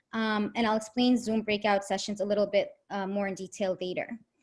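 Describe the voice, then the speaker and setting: Somewhat breathy delivery, its intonation fairly even. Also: woman. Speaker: teacher trainer. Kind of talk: lecture. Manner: fast.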